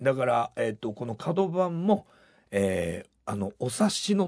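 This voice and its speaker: A man speaks at a fairly slow pace with very wide swings in pitch against a quiet background. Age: 60s. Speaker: rock band vocalist and songwriter. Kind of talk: interview.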